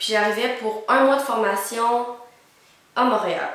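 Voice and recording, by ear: A woman speaks at a moderate pace in a fairly high pitch, her fairly bright tone and fairly even intonation carried by strong room echo.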